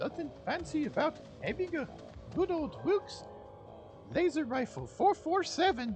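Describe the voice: Using a put-on character voice with an extremely high pitch and big pitch swings, a man speaks at a fairly slow pace in a dry, close sound with no echo and faint music in the background.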